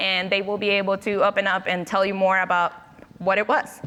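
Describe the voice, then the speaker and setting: A woman with a Spanish accent speaks at a medium pitch in a bright, sharp tone. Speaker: panel moderator. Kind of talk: moderated panel discussion.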